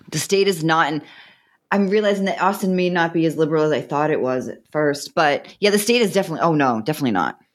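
Talking at a very fast pace, a woman uses lively intonation and a fairly low pitch. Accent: Boston. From Massachusetts, north of Boston. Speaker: author and relationship expert. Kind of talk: interview. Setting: remote call.

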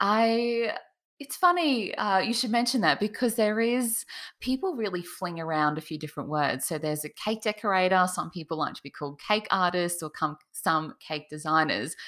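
A woman with an Australian accent speaks with lively intonation. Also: medium pitch for a woman, moderate pace. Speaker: cake artist. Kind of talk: interview. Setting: video call. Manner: animated.

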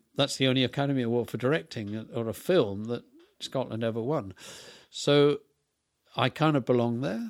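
In a very clean recording with a silent background, a man with an English accent speaks at a moderate pace, his medium pitch showing ordinary variation. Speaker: film set designer and director. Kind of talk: interview.

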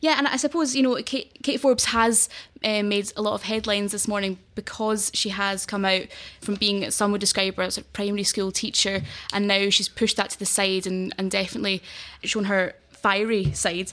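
A woman's medium-pitched voice in a Glaswegian accent, at a moderate pace with ordinary pitch variation, on a very clean recording with a silent background. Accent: Glaswegian Scottish. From Glasgow, Scotland.

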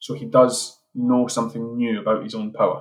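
Music plays in the background as a man speaks with an Edinburgh accent. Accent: Scottish (Edinburgh). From Scotland, Edinburgh. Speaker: screenwriter and playwright. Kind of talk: interview. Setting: remote call.

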